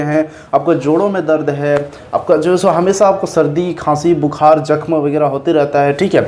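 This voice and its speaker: Over noticeable background noise, a man speaks with a fairly high pitch and fairly even intonation. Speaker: motivational YouTuber. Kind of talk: casual vlog talk. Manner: halting, repetitive.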